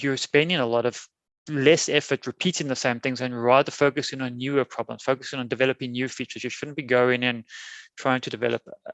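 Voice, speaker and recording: Speaking very fast with a South African accent, a man holds a medium pitch in a monotone, flat intonation, captured with a dry, close sound with no echo and a quiet background. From South Africa, Cape Town. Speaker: software testing conference speaker. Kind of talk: conference keynote talk. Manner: many fillers, halting.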